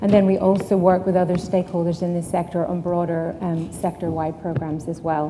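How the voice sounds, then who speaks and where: In an Irish accent, a woman talks at a fairly low pitch with monotone, flat intonation, and audible room echo surrounds her voice. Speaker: sustainability consultant. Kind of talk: conference talk. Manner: frequent filler ums.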